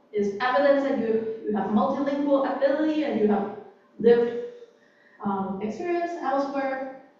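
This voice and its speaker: Against noticeable background noise and audible room echo, a woman talks at a moderate pace with a high pitch and ordinary pitch variation. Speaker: workshop presenter. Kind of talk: workshop talk. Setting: library room with live audience. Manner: hesitant, many fillers.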